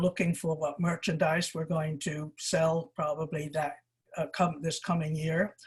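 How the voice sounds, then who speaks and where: A woman speaks with a somewhat breathy voice. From England. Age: 80s+. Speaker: shop owner. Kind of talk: oral history interview. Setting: video call.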